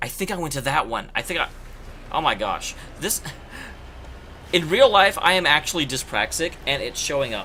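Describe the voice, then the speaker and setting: Loud and animated, a voice with an American accent moves at a moderate pace with lively intonation. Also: man. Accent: Oklahoma accent, slight, creeps in at times. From Oklahoma, US (Tulsa). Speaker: video game streamer. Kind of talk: casual live-stream commentary. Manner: animated, chatty.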